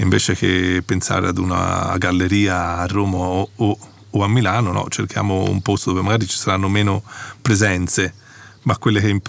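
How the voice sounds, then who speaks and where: Monotone and flat, a man speaks in a very deep, low pitch. His pace is moderate. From Italy, Florence. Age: 40s. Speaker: photographer. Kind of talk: interview. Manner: halting.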